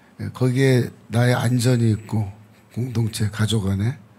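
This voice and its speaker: A man at a medium pitch. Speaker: theology professor. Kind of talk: Bible teaching talk.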